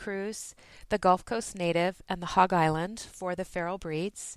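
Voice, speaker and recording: With an American accent and a bright, sharp tone, a woman speaks at a medium pitch and moderate pace on a very clean recording with a silent background and a dry, close sound with no echo. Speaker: podcaster and knitter. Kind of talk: recorded message segment.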